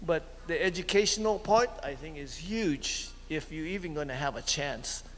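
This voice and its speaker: Speaking with a Hawaiian accent, a man keeps a moderate pace and ordinary pitch variation. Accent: Hawaiian local English. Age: 70s. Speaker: community meeting participant. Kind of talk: public comment at community meeting. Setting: community center meeting. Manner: halting.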